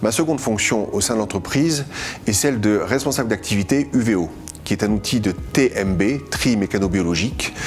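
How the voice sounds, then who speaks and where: A man's fairly low voice with lively intonation at a moderate pace, music in the background. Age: 50s. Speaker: waste management manager. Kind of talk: corporate testimony.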